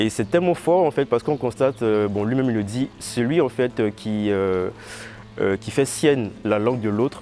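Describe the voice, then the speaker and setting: A man at a medium pitch with ordinary pitch variation and a moderate pace. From Ivory Coast. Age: 20s. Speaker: visual artist. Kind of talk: interview. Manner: halting, many fillers.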